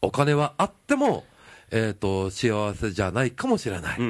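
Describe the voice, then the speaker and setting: Speaking in a Kansai accent, a man sounds animated at a medium pitch. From Nara, Japan (Kansai). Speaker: singer-guitarist. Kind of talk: casual chat. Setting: drinking at a bar.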